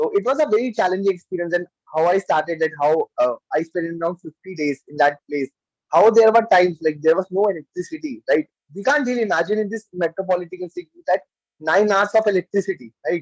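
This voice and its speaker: A man's high-pitched voice with an Indian accent, very fast in pace, with ordinary pitch variation. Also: dry, close sound with no echo. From India, Delhi. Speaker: club member giving a speech. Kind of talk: speech. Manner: halting; soft-spoken.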